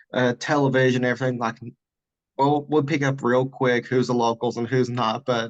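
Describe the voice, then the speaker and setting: The speaker has an Appalachian accent and a monotone, flat intonation. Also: man. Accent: Appalachian Southern US. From western North Carolina mountains (Burnsville, near Asheville). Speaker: podcast guest. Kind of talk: casual chat.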